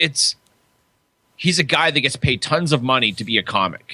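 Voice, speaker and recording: A man with vocal fry and a bright, sharp tone at a fairly quick pace. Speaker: podcast co-host. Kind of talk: casual chat.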